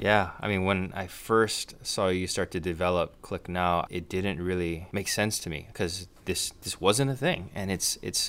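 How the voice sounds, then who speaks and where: A man speaks with a very deep, low pitch and fairly even intonation. His pace is fairly slow, and the recording is very clean with a silent background. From Hawaii. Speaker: podcast host. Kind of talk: casual chat. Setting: studio.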